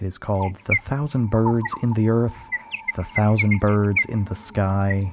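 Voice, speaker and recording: The speaker uses a calm tone and fairly even intonation at a fairly slow pace, with noticeable background noise behind. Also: man, fairly low pitch for a man. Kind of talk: radio DJ patter between tracks, back-announcing songs. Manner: calm, measured, informative.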